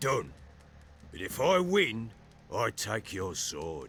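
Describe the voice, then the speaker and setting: A raspy, put-on character voice from a man, medium in pitch, very slow, with very wide pitch swings and music in the background. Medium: video game. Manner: gruff, blunt.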